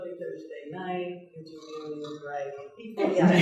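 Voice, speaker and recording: A woman speaks in an American accent with ordinary pitch variation. There is audible room echo and noticeable background noise. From Massachusetts. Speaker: paranormal investigator and radio show host. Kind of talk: panel discussion.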